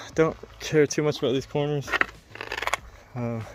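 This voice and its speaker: Music plays in the background as a man speaks. His pace is moderate and his intonation fairly even. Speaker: military service member and DIY ramp builder. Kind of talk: casual vlog narration. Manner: monotone.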